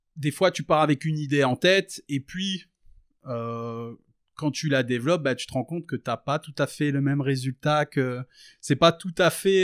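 Recorded with a dry, close sound and no echo, a man speaks fairly slowly at a fairly high pitch with ordinary pitch variation. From rural France. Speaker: rapper. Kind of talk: casual interview. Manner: halting, many fillers.

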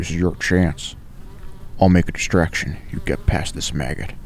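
In a put-on character voice, a man growls at a moderate pace with a very deep, low pitch over clear background noise. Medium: read story. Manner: hard, snarling, commanding.

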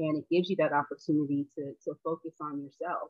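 In an American accent, a woman with a very deep, low pitch speaks at a moderate pace. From Charleston, South Carolina. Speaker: clinical research coordinator. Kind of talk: testimony.

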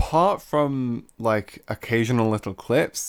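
This man keeps his intonation fairly even. The recording is very clean, with a silent background. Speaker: podcast co-host. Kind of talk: casual chat.

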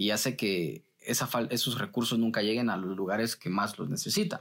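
This man talks at a fairly quick pace in a Guatemalan accent, at a medium pitch. The recording is very clean, with a silent background. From Guatemala City. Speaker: journalist. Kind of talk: interview.

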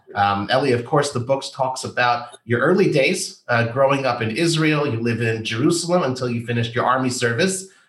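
In an ordinary speaking voice, a man talks at a fairly quick pace with hardly any pauses, his medium pitch showing ordinary variation. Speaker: podcast host. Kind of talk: interview.

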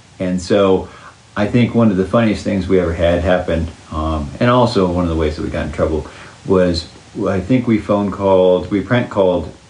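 Through noticeable background noise and audible room echo, a man with an American accent talks at a fairly quick pace in a very deep, low pitch with ordinary pitch variation. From Oklahoma, US. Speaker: parent interviewee. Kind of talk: casual interview.

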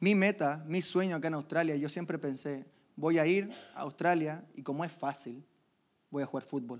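A man with an ordinary speaking voice, fairly high in pitch, with ordinary pitch variation at a moderate pace. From Chile. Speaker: church member giving testimony. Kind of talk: testimony.

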